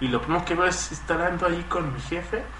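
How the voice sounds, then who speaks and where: A man with a Mexican accent at a moderate pace, with audible room echo and noticeable background noise. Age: 20s. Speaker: podcast guest. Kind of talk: casual chat. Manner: halting.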